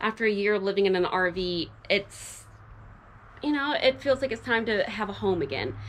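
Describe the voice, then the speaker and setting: A woman speaks at a moderate pace. Her pitch is medium, and there is noticeable background noise. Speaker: cabin renovation vlogger. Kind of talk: casual vlog narration.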